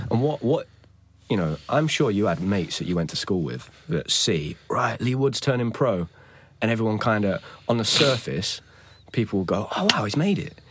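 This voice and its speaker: The speaker has an East Midlands accent and vocal fry. Delivery is at a moderate pace with very wide pitch swings. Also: man, medium pitch for a man. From Nottingham, England. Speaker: podcast host. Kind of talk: interview.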